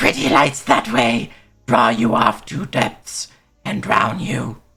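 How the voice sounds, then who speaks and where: Using a put-on character voice, a man speaks raspily at medium pitch and a fairly slow pace. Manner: spooky, ominous.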